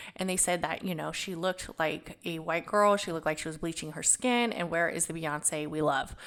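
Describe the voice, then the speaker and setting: A woman's voice with ordinary pitch variation comes through a very clean recording with a silent background. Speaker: podcast host. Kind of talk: casual monologue. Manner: casual, filler-heavy.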